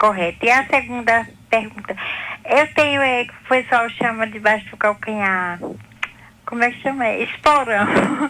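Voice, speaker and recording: With a plain, everyday voice, a woman speaks fairly slowly at a fairly high pitch. Her loudness swings widely, while her pitch variation is ordinary. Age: 60s. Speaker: caller. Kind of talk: phone call question.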